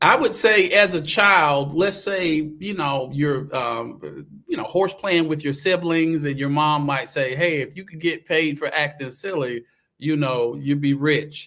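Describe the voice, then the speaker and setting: A man's bright, sharp, fairly high-pitched voice with a Southern US accent. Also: ordinary pitch variation, fairly slow pace. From US South, eastern North Carolina. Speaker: actor and acting coach. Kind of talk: casual interview chat.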